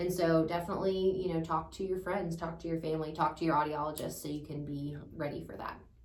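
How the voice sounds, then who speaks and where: A woman talks very fast in a fairly low, flat monotone with hardly any pauses. Room echo is audible and background noise is noticeable. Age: 30s. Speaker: audiologist. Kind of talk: casual chat.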